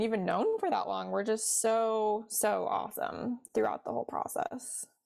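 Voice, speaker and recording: At a moderate pace, this woman talks with an American accent. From US Midwest, Cincinnati, Ohio. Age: 20s. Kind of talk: casual interview chat.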